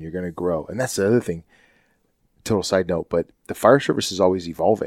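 A man speaks with a very deep, low pitch. The sound is dry and close with no echo, on a very clean recording with a silent background. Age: 50s. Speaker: podcast host and firefighter. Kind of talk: casual chat.

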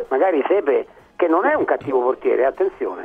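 A man talks at a fairly quick pace. There is noticeable background noise. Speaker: sports pundit. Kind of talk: panel discussion.

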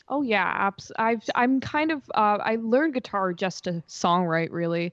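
A woman talks at a moderate pace with lively intonation in an ordinary speaking voice. The sound is dry and close with no echo, and the background is quiet. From Massachusetts, moved among several US states. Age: young. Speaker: singer-songwriter. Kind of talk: casual interview chat.

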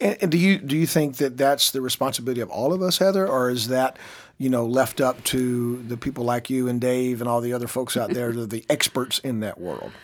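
Delivered with a normal speaking voice, the speech moves at a fairly quick pace with hardly any pauses and ordinary pitch variation. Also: man, medium pitch for a man. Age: 50s. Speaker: podcast host. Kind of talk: interview. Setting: studio.

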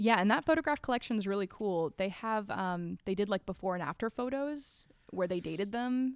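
With an American accent, a woman uses a normal speaking voice at medium pitch, speaking at a fairly quick pace with lively intonation. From North Carolina. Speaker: archivist. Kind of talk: scripted narration; casual chat.

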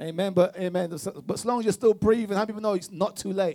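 Animated in tone, a man speaks with pitch that varies in an ordinary way. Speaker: preacher. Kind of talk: sermon, preacher in full flow, call-and-response. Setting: church with congregation. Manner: animated, emphatic, repeats phrases for rhythm and cues the congregation to answer; fervent, punchy short declarations with rising intensity.

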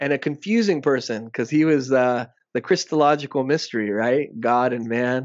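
In an American accent, a plain, everyday voice speaks at a moderate pace with ordinary pitch variation. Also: man, medium pitch for a man. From South Texas border (Rio Grande Valley). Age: 30s. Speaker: academic guest discussing socialism. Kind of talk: casual interview discussion.

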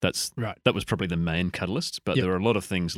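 Ordinary pitch variation runs through a man's speech. He talks in an Australian accent. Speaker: podcast guest.

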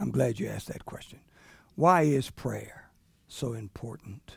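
Lively intonation in a somewhat breathy voice with an American accent. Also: man. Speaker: bishop, visiting preacher. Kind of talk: sermon, preacher in full flow building a numbered teaching point by point. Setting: church service with congregation. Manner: rhythmic, repetitive emphatic build-up with enumerated points; conversational with frequent fillers and chuckles.

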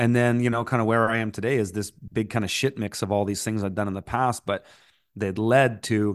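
Against a quiet background, a man with a Canadian accent talks at a moderate pace in a normal speaking voice, with a medium pitch and fairly even intonation. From Canada. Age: 40s. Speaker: farmer and entrepreneur. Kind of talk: casual interview.

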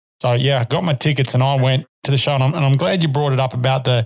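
A man with an Australian accent speaks at a very fast pace in a medium pitch, his somewhat breathy voice fairly even in intonation, recorded with a dry, close sound and no echo. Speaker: podcast host and horseman. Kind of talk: casual chat. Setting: studio.

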